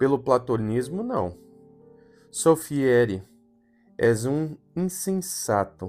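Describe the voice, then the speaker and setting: Over music in the background, a man speaks very slowly with long, frequent pauses and very wide pitch swings. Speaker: audiobook narrator. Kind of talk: gothic horror audiobook reading.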